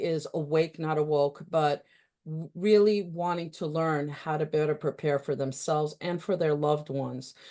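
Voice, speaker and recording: A woman in a New York accent, fairly low-pitched with a dark, mellow tone, at a moderate pace over a quiet background. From New York City. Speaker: talk show host. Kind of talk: interview.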